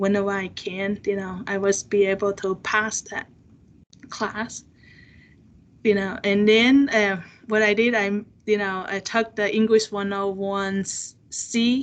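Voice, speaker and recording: A woman with a Chinese accent talks very slowly at a medium pitch, her intonation monotone and flat, with long, frequent pauses over a quiet background. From China. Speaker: seminar speaker. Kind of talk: personal testimony in interview. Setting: video call. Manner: halting, many fillers.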